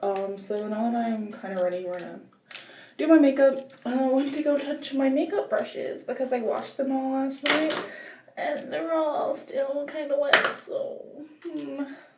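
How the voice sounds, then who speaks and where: At a moderate pace, a woman with a high voice speaks with lively intonation amid audible room echo and noticeable background noise. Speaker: vlogger. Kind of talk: casual vlog. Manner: casual, rambling with fillers.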